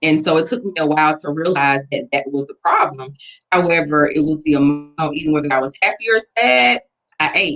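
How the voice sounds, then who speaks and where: Speaking at a fairly quick pace, a woman has a very deep, low voice. She has an Atlanta accent and ordinary pitch variation. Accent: Southern US (Atlanta). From US South, Atlanta. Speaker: weight loss interviewee. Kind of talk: interview.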